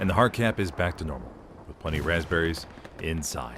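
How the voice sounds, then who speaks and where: A man speaks at a moderate pace with noticeable background noise in the clip. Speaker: voice actor. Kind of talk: live esports play-by-play commentary. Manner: energetic.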